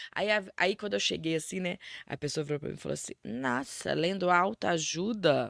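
Very deep and low, a woman's voice shows vocal fry and lively intonation. The very clean recording has a silent background and a dry, close sound with no echo. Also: moderate pace. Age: 40s. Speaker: life coach. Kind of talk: interview.

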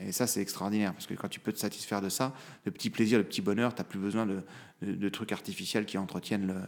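A man rushes along at a very fast pace yet leaves long, frequent pauses, his fairly low voice flat and monotone. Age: 30s. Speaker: lawyer and father. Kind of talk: casual interview. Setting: recorded at his law office.

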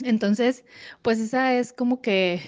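A woman's ordinary speaking voice at a fairly slow pace, ordinary pitch variation, quiet background. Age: 30s. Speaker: psychologist. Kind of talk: recorded testimony.

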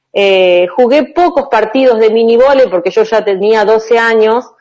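A woman's fairly high pitch at a fairly slow pace, with fairly even intonation and a plain, everyday voice. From Argentina, Chaco and Santa Fe province. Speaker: volleyball player. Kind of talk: interview. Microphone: connection dropped during call.

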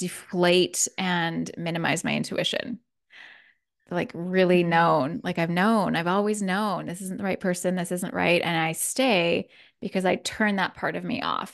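A woman talks at a fairly slow pace with a medium pitch. The background is quiet. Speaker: podcast host and wellness teacher. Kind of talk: casual chat. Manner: soft-spoken.

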